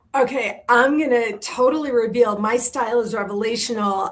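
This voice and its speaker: A woman's animated tone with ordinary pitch variation against noticeable background noise. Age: 60s. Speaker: confidence coach and author. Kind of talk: interview. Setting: live video stream.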